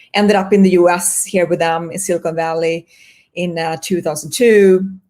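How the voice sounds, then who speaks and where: A woman with a Swedish accent, a fairly low pitch and a moderate pace. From Sweden. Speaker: marketing executive. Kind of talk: interview.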